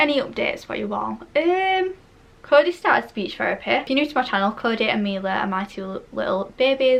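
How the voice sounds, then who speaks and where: A woman talks in a Yorkshire accent at a high pitch. Her pace is fairly quick, with very wide pitch swings. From northern England, Barnsley, South Yorkshire. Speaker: beauty YouTuber. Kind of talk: casual chat. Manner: chatty, rambling.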